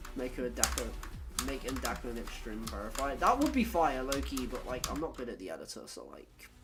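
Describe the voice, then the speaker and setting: Noticeable background noise runs under the voice. Delivery is at a fairly quick pace. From Britain. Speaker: gaming streamer. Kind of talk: casual chat. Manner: casual, filler-heavy.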